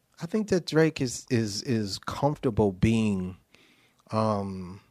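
With an American accent, a man talks very slowly at a fairly low pitch with lively intonation. The recording is very clean, with a silent background. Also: long, frequent pauses. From New Haven, Connecticut. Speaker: songwriter and music producer. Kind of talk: casual interview.

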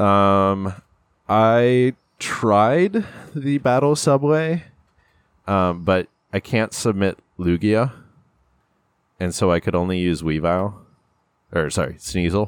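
This man speaks very slowly, leaving long and frequent pauses. His fairly low voice rises and falls with lively intonation. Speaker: podcast host. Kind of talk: casual chat. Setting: studio.

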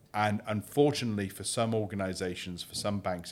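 The recording is very clean, with a silent background. A man with a British accent talks at a fairly quick pace. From UK. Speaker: crypto exchange CEO. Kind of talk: interview. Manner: halting.

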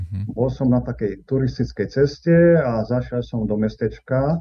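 Somewhat breathy and fairly slow, this man's medium-pitched voice carries lively intonation. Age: 60s. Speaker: Orthodox priest. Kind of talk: interview.

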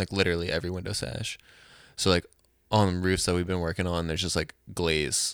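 In a very clean recording with a silent background, a man talks with a very deep, low pitch and monotone, flat intonation. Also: fairly quick pace. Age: 20s. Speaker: musician and house painter. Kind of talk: casual chat.

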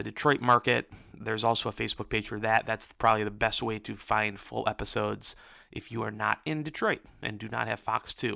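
A bright, sharp tone comes at a fairly quick pace on a very clean recording with a silent background, the sound dry and close with no echo. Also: man. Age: 30s. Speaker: podcast host and reality TV recapper. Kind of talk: solo podcast monologue. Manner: casual with frequent fillers.

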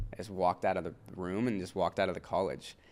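Someone with an American accent talks at a very fast pace, keeping the intonation fairly even. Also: man. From US Midwest (Evansville, Indiana). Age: 20s. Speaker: skateboarder. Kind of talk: casual interview chat.

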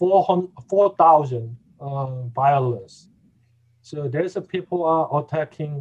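A man speaks at a very slow pace with a fairly high pitch. His voice is somewhat breathy. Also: ordinary pitch variation. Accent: Korean. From South Korea. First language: Korean. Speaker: pastor and denominational leader. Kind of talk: interview conversation. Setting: remote call.

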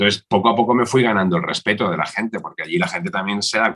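The man's fairly low voice has a bright, sharp tone and lively intonation, captured dry and close with no echo. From Valencia, Spain. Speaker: politician. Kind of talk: interview.

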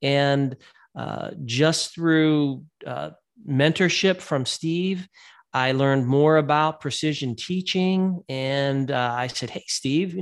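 A man with an American accent has a plain, everyday voice, fairly high in pitch with ordinary pitch variation, on a very clean recording with a silent background. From Ohio, Youngstown area. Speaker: special education professor. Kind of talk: interview.

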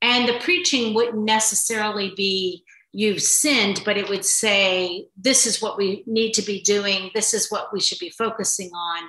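A woman with an American accent, a plain, everyday voice and a fairly high pitch with ordinary pitch variation speaks at a moderate pace with hardly any pauses. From New York. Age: 60s. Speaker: mother and grandmother sharing faith journey. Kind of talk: casual conversation. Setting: in person recording.

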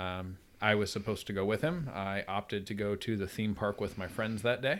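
A fairly low-pitched man with an upstate New York accent, at a fairly quick pace. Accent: upstate New York American. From upstate New York (Troy, near Albany). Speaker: chiropractor and father. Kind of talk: casual chat.

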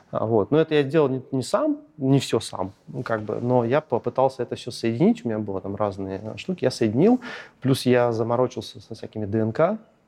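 A medium-pitched male voice at a moderate pace, ordinary pitch variation and noticeable background noise. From northern Russia, Arkhangelsk region. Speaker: tech product director. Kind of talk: interview.

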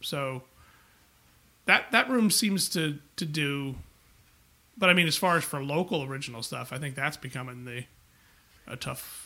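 A man with a New York accent speaks at a fairly high pitch in a bright, sharp tone, with ordinary pitch variation. His loudness swings widely, and he leaves long, frequent pauses. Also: moderate pace. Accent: New York area. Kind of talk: casual chat.

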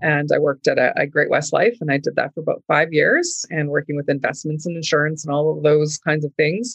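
In a Canadian accent, a woman with a very deep, low voice speaks at a fairly quick pace with fairly even intonation and hardly any pauses, in a dry, close sound with no echo. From Canada, rural Manitoba (Oakbank). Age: 50s. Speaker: entrepreneur. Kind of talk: casual interview.

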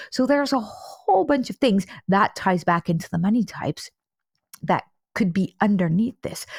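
The somewhat breathy voice has a dry, close sound with no echo. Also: woman. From Netherlands. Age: 40s. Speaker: money coach and trauma therapist. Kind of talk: interview.

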